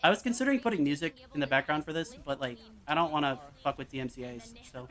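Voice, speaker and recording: A man talking at a very fast pace, fairly high-pitched for a man, with lively intonation, big swings in loudness and noticeable background noise. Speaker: streamer. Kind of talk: casual chat. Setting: live stream.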